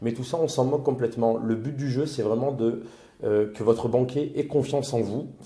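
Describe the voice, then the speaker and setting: A man talks at a moderate speed, his voice somewhat breathy and his pitch varying in an ordinary way. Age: 30s. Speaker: property investor and temp worker. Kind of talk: interview testimony.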